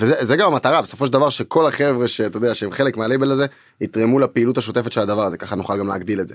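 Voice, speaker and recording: Talking at a very fast pace, a man keeps a medium pitch. The recording is very clean, with a silent background. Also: ordinary pitch variation. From Israel, Tel Aviv. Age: 20s. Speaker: music producer and record label co-owner. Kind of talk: casual interview chat. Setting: studio.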